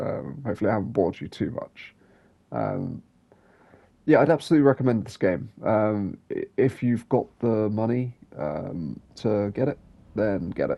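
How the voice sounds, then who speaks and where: A man's voice with vocal fry and lively intonation. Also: medium pitch for a man, moderate pace. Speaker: gaming youtuber. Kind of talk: game review voiceover. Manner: relaxed, low-energy; hesitant, many fillers.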